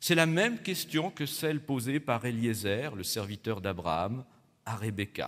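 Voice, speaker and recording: A man's fairly slow speech comes through over a quiet background. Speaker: Protestant pastor. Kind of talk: sermon. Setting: church. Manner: formal, didactic. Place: church. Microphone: podium.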